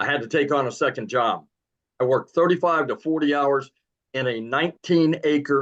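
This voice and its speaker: Speaking at a moderate pace, a man with a normal speaking voice keeps his fairly high pitch on fairly even intonation. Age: 60s. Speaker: realtor. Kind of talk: testimony.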